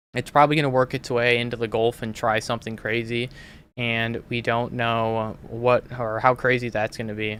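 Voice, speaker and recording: A man's medium-pitched voice in an American accent, with monotone, flat intonation. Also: moderate pace. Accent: sounds Canadian, per others. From Minnesota. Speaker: weather analyst and livestream host. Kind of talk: live weather commentary. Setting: livestream. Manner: casual, many fillers.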